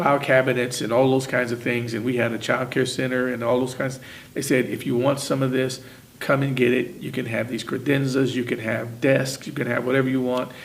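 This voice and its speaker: Amid noticeable background noise and audible room echo, a man with a Midwestern US accent talks at a fairly quick pace in a monotone, flat intonation at medium pitch. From Indiana, Muncie. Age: 60s. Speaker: retired factory worker. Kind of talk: oral history interview.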